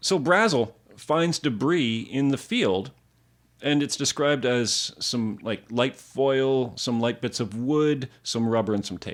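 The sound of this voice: The man's voice sits at a medium pitch. He speaks at a very slow pace. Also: ordinary pitch variation, very clean recording, silent background.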